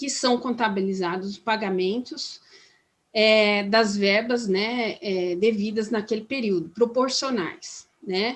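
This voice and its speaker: This woman speaks at a very slow pace. Her pitch is fairly high, with ordinary variation. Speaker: labor law trainer. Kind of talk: training workshop lecture. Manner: halting, many fillers and restarts.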